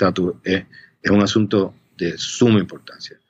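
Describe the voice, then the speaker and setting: A man is speaking. His pace is fairly slow. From Puerto Rico (Río Piedras). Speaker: policy analyst at a think tank. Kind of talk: interview. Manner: halting, with many fillers and repetitions.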